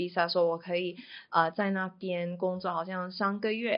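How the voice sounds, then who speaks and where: Monotone, flat intonation in a woman's medium pitch. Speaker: payments salesperson. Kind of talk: interview. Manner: halting.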